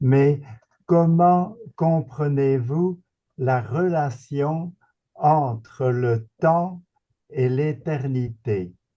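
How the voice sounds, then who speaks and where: Somewhat breathy, a man speaks in a dark, mellow tone with lively intonation. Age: 80s+. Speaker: retired philosophy professor. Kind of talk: Q&A question at a seminar. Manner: halting.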